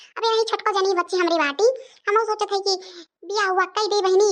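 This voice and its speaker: A woman puts on a cartoonish character voice. She talks at a fairly quick pace with fairly even intonation. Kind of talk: village comedy cartoon. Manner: scolding, grumbling.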